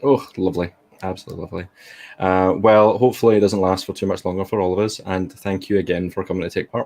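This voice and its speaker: Talking at a very fast pace, a man with a Glaswegian accent has a very deep, low pitch and fairly even intonation. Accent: Glaswegian Scottish. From Scotland, Glasgow. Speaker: event host. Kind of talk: casual chat.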